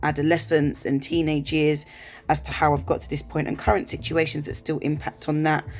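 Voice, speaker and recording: In an English accent, a woman talks at a fairly quick pace with a very deep, low pitch and vocal fry. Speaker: vlogger. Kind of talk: personal vlog monologue. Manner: fast.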